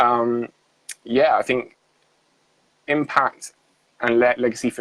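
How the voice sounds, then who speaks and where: A man talks at a medium pitch in a monotone, flat intonation, with a dry, close sound and no echo. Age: 20s. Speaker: young entrepreneur and mindset coach. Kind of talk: interview conversation. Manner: halting, many fillers.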